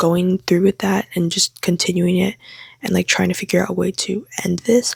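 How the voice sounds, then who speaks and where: Quiet and whispering, a woman speaks at a moderate pace in a dry, close sound with no echo. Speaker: book vlogger. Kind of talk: vlog monologue. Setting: home, late at night. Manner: whispering, quiet.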